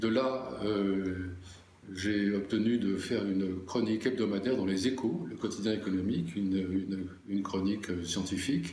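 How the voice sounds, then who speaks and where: The speech moves at a fairly slow pace. Audible room echo and noticeable background noise fill the recording. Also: man. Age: 70s. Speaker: journalist. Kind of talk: interview. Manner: halting, many hesitations.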